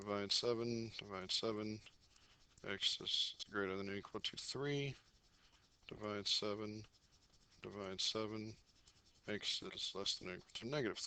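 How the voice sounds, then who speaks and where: Pausing long and often, a man speaks at a fairly low pitch with fairly even intonation. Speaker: math teacher. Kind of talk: tutorial. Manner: fast.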